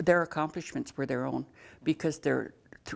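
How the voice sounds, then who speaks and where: Heard in a very clean recording with a silent background, a woman with an American accent speaks at a very deep, low pitch with vocal fry. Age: 70s. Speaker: youth center director. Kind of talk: interview.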